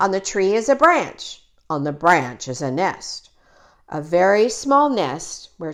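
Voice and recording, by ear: A text read aloud in a natural voice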